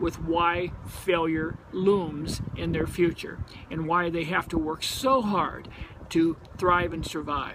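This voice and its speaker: Speaking very slowly, this man has a high pitch and fairly even intonation, with noticeable background noise behind him. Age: 60s. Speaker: company co-founder. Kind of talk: promotional talk.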